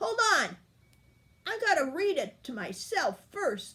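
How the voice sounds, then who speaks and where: A put-on character voice growls at an extremely high pitch and a fairly slow pace. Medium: read story.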